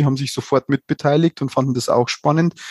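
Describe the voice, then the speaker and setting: A man talks very fast in a fairly high voice, his intonation flat and monotone. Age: 40s. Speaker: nursing research lead at a university hospital. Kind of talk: casual expert discussion.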